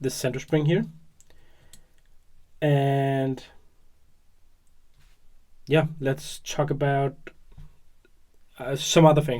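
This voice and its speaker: In a put-on character voice, the speaker mumbles quietly at a low-to-middle pitch. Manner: mumbling, quiet.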